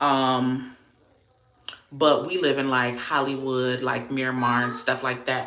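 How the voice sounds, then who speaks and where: Very slow and fairly even in intonation, a woman with a very deep, low pitch talks with an American accent. Audible room echo and noticeable background noise are present. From South Florida (Miami area), Haitian American family. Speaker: livestreamer, beauty content creator. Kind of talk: casual livestream chat.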